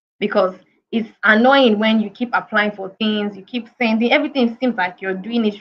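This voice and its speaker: A woman speaks at a fairly quick pace in a fairly high, somewhat breathy voice. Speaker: career coach. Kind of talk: webinar talk. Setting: online video session.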